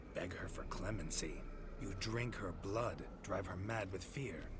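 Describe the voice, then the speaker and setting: Putting on a character voice, a man speaks at a fairly low pitch and moderate pace over loud background noise. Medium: machinima. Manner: terse, dry, low-key.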